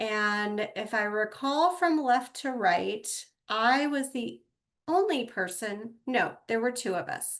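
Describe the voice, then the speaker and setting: A woman speaks very slowly, her voice fairly high and her intonation lively. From Texas. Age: 50s. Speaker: podcast host and yoga studio owner. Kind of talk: personal podcast monologue.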